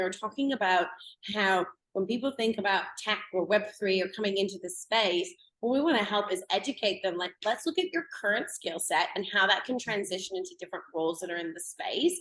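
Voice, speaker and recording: A woman with a normal speaking voice and a Canadian accent talks at a medium pitch. Her pace is fairly quick and her pitch variation is ordinary. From Canada. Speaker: blockchain educator. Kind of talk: interview. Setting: podcast.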